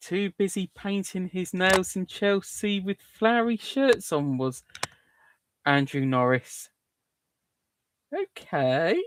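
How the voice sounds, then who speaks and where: With a southern English accent and a high pitch, a man speaks at a very slow pace with lively intonation and long, frequent pauses, the sound dry and close with no echo. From southern England. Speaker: livestream host. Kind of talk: casual chat. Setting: live stream.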